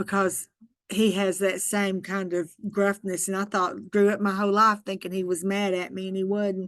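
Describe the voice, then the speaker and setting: A woman speaks in an Arkansas accent at a moderate pace and medium pitch. Her intonation is monotone and flat against a quiet background. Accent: Southern US (Arkansas). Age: 60s. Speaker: early childhood education trainer. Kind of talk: training webinar. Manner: casual.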